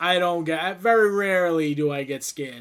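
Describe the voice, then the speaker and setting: Loud, bright, sharp speech at a moderate pace with ordinary pitch variation, on a very clean recording with a silent background. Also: man. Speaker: gaming YouTuber. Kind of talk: casual chat.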